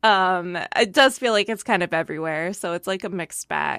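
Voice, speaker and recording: Bright and sharp in tone, a woman speaks at a moderate pace with lively intonation. The recording is very clean, with a silent background. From Britain and US. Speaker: voice actress. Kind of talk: casual chat.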